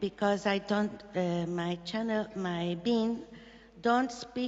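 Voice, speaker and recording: A woman speaks very slowly with a non-native accent. Her intonation stays fairly even. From Brazil. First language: Portuguese. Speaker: audience member. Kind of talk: audience question. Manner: halting.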